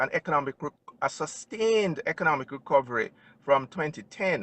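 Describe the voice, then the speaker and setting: Here a man speaks in a Jamaican accent. His pitch is fairly high and his pace is moderate. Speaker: financial advisor. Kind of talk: interview. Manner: formal.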